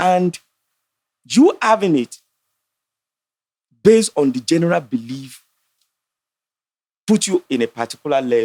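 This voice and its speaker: A man with a Nigerian accent speaks at a fairly slow pace in a high pitch, his voice swinging very widely, with long, frequent pauses and a dry, close sound with no echo. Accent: Nigerian (Yoruba) English. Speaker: entrepreneur and astrologer. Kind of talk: casual debate on a podcast. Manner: animated.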